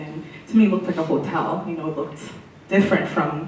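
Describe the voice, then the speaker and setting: Over noticeable background noise and audible room echo, a woman with a fairly low pitch speaks at a very fast pace in a monotone, flat intonation. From Burundi, then London, Ontario. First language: French. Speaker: city councillor. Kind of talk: personal testimony interview. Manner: hesitant, many fillers.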